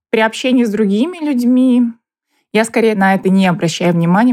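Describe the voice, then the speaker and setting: With a dark, mellow tone, a woman talks at a fairly quick pace and varies her pitch in an ordinary way. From Buryatia, Russia (Ulan-Ude). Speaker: interviewee. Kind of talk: interview testimony.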